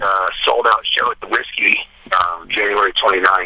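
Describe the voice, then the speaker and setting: Moderate-paced speech amid noticeable background noise. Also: man. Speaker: metal guitarist. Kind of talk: casual chat. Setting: phone call. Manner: halting.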